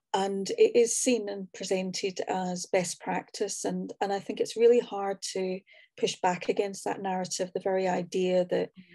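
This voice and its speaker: Over a quiet background, a woman with a Scottish accent speaks at a moderate pace and medium pitch in a dark, mellow tone, monotone and flat, with hardly any pauses, the sound dry and close with no echo. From Scotland. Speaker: social work academic. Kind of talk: panel discussion.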